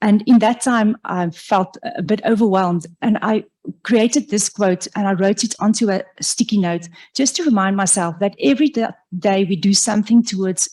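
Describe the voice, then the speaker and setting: The woman's dark, mellow tone comes through somewhat breathy. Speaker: professor. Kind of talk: lecture. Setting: lecture hall with audience, also streamed online. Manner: halting, with fillers and self-corrections.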